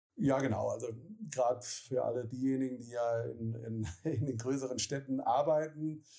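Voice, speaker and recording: This man has a medium-pitched voice with a dark, mellow tone, talking at a fairly slow pace with fairly even intonation. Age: 40s. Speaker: city administration mobility officer. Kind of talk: interview. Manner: hesitant with many filler sounds.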